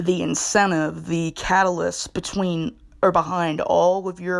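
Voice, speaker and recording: A woman with a fairly low pitch speaks on a very clean recording with a silent background. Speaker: video blogger. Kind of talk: casual explainer monologue. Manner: halting, self-interrupting; unrehearsed, conversational.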